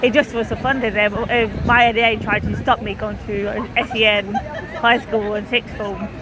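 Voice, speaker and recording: Crowd noise plays in the background, and the room echo is audible. The speech moves at a moderate pace with fairly even intonation. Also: woman, fairly high pitch for a woman. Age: 30s. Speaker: livestreamer covering a protest. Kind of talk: casual chat and live reporting. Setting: outdoors at a protest. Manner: halting.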